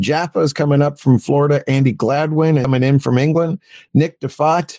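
A man's dark, mellow tone at a moderate pace, with a dry, close sound and no echo. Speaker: magic convention organizer. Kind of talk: casual interview chat.

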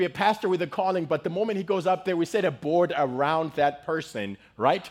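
This man talks at a fairly quick pace with a Zimbabwean accent. His intonation is lively. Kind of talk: sermon. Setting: church with audience. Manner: animated.

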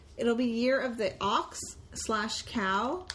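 Noticeable background noise can be heard as a woman speaks. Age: 30s. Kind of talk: casual chat.

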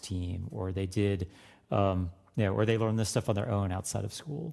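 Over a very clean recording with a silent background, a man with an American accent talks at a moderate pace in a plain, everyday voice, fairly low in pitch with ordinary pitch variation. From Florida. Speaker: music professor. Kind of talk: interview.

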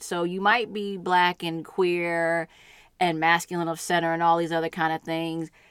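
An unremarkable speaking voice moves at a fairly slow pace. The recording is very clean, with a silent background. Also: woman. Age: 40s. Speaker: podcast co-guest and partner of host. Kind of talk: casual conversation.

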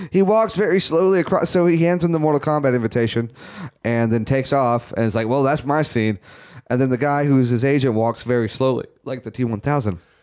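Speaking at a fairly quick pace, a man with a medium pitch and lively intonation has an unremarkable speaking voice. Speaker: podcast host. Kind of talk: casual banter.

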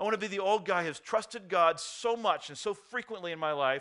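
Using a raised, projected voice, a man speaks at a fairly quick pace with a high pitch, a bright, sharp tone and lively intonation. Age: 40s. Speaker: pastor. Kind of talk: sermon. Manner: halting.

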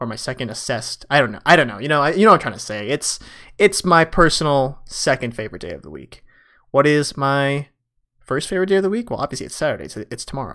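Lively in intonation, a man speaks with a bright, sharp tone in a very clean recording with a silent background. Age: 20s. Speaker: podcast host and PhD student in astronomy. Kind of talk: casual solo monologue. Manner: animated.

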